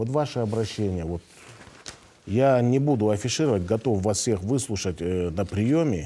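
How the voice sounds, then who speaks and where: A man's fairly low voice at a fairly slow pace, with lively intonation. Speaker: regional health minister. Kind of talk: live TV call-in Q&A. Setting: TV studio. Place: studio. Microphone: lapel.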